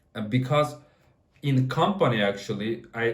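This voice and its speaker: Amid audible room echo, a man speaks in a somewhat breathy voice. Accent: non-native. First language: not English. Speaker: software developer. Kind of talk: casual talk to camera. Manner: halting, many fillers and restarts.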